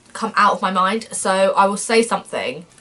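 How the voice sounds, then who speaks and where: A woman's voice over noticeable background noise. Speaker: vlogger. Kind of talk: personal vlog talk. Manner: fast; animated.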